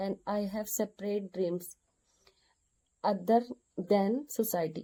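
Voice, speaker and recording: A woman speaks with an Indian accent and ordinary pitch variation. Her tone is dark and mellow. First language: Hindi. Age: 30s. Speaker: vlogger learning English. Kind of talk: personal monologue to camera. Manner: halting, repeating words.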